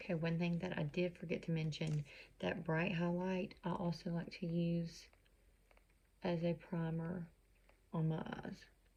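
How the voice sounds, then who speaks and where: Her fairly low, somewhat breathy voice has a dark, mellow tone and flat, monotone intonation, and the woman talks fairly slowly with very even loudness and long, frequent pauses. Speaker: makeup consultant. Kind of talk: tutorial. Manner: casual, chatty.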